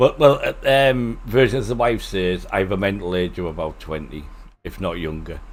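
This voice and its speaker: With a Teesside accent, a man speaks at a moderate pace in a fairly low voice with lively intonation. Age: 60s. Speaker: flight sim streamer. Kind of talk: casual chat.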